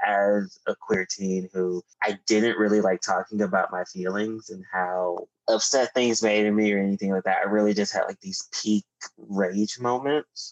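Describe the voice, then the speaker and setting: A man with an American accent uses a normal speaking voice, pitched fairly low. He goes at a fairly slow pace with fairly even intonation, and the sound is dry and close with no echo. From Texas. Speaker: writer and activist. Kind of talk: casual chat.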